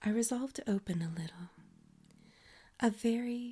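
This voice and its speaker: A soft-spoken woman at a moderate pace, her tone dark and mellow and somewhat breathy. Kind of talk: ASMR story reading.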